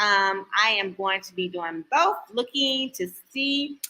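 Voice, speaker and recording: This woman's voice has a bright, sharp tone and very wide pitch swings. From New Jersey. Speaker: talk show host. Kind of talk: live interview chat. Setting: live stream.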